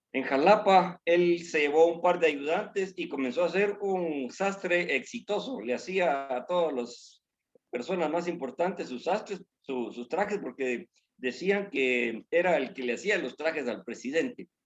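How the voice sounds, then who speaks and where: A man speaks at a fairly slow pace in a high voice. His intonation is lively. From Guatemala. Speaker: church member. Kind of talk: testimony. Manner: halting.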